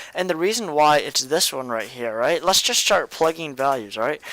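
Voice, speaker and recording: In a very clean recording with a silent background, a man speaks with lively intonation at a fairly high pitch. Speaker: math tutor. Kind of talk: tutorial. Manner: fast; halting, filler words.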